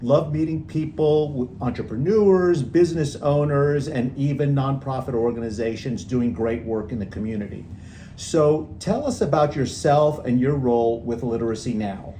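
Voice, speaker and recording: Heard with audible room echo, a man's dark, mellow, somewhat breathy voice sits at a fairly high pitch with ordinary pitch variation. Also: moderate pace. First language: Spanish. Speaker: podcast host. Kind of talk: interview.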